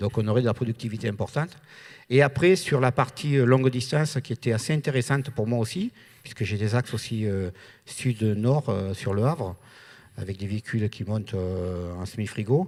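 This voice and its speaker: A man speaks with a southern French accent. His pitch varies in an ordinary way. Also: medium pitch for a man, moderate pace, very clean recording, silent background. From southern France. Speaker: trucking company owner. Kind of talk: panel discussion.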